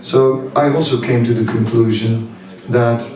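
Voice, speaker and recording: With a Dutch accent, a man speaks very slowly at a medium pitch, with audible room echo and noticeable background noise. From Netherlands. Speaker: spiritual teacher. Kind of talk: seminar talk. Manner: halting, many fillers.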